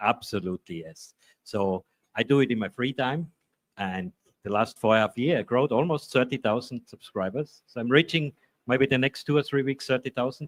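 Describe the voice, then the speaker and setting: A man with an Austrian accent speaks at a medium pitch and a fairly quick pace. His pitch varies in an ordinary way, and the sound is dry and close with no echo. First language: German. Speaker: maker YouTuber. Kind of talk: panel discussion. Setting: trade fair booth.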